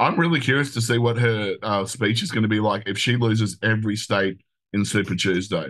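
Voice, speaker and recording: This man speaks at a fairly quick pace with an Australian accent, his pitch fairly low and its variation ordinary. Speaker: show producer and co-host. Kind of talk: casual chat.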